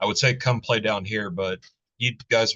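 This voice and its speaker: Bright and sharp in tone, a man with a Southern US accent talks at a fairly quick pace with fairly even intonation against a quiet background. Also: dry, close sound with no echo. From US South, Alabama. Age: 40s. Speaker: metal YouTube channel host. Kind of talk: interview. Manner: casual, profane.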